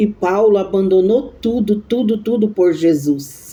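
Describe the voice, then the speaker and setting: A dark, mellow tone marks this woman's very slow delivery. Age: 60s. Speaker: evangelical preacher. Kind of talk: devotional sermon. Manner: halting.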